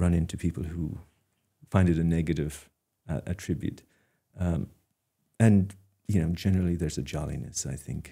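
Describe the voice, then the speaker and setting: The voice carries an Irish accent and a dark, mellow tone. Long, frequent pauses break up the speech. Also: man. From Ireland, Dingle, County Kerry. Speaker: artist. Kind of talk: interview. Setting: studio. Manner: hesitant, many fillers and repeats.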